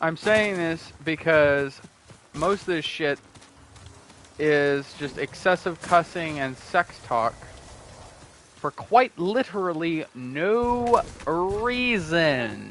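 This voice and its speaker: A man talks at a very slow pace with lively intonation, leaving long, frequent pauses, while noticeable background noise runs underneath. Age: 20s. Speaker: gaming streamer. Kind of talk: casual chat.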